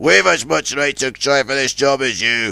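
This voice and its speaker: Using a raspy put-on character voice, a man speaks at medium pitch and a moderate pace. His pitch varies in an ordinary way. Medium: read story.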